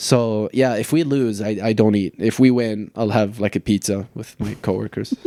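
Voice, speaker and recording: A man with an American accent speaks at a moderate pace with hardly any pauses, his pitch fairly low and his intonation fairly even. His tone is dark and mellow, and the sound is dry and close with no echo. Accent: closer to American than British. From Lebanon. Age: 30s. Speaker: soccer coach. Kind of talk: casual podcast interview.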